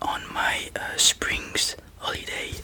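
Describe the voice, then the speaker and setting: Someone whispers very slowly in a French accent over noticeable background noise. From France. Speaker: ASMR creator. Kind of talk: ASMR storytelling. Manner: whispering; halting.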